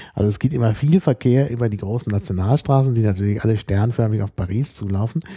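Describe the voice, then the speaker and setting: A man talks at a very fast pace with hardly any pauses, his medium-pitched voice somewhat breathy with a dark, mellow tone and ordinary pitch variation. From Germany. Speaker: podcast co-host. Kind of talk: casual chat.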